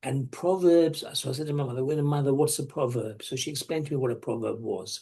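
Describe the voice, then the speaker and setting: A man's fairly high voice with a dark, mellow tone, somewhat breathy, at a very fast pace with hardly any pauses. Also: ordinary pitch variation. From England, moved there around age seven or eight. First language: not English. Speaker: dental practice business consultant. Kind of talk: webinar presentation. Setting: online webinar.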